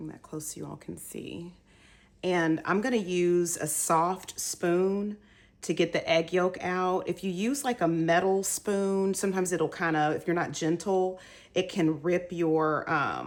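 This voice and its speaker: Her voice is a plain, everyday voice, fairly low in pitch. The woman speaks at a fairly slow pace with fairly even intonation. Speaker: home cook. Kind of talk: casual cooking tutorial to camera. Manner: relaxed, chatty, with filler words.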